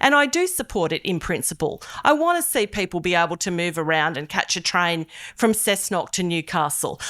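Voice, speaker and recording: At a moderate pace, a woman with an Australian accent speaks in a bright, sharp tone with very wide pitch swings, in a very clean recording with a silent background. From Australia, Hunter region NSW. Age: 50s. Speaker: politician. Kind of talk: public meeting speech. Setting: public meeting hall with audience.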